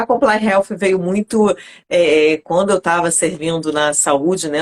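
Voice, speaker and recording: Fairly even intonation comes through in a dry, close sound with no echo. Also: woman. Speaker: lawyer and consultant for health professionals. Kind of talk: live online interview. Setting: online live stream.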